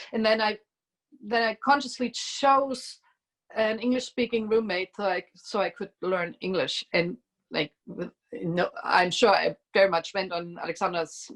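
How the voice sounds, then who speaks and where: At a fairly slow pace, a woman in a German accent talks at a fairly high pitch with ordinary pitch variation, the sound dry and close with no echo. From East Germany. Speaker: musician. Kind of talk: casual chat.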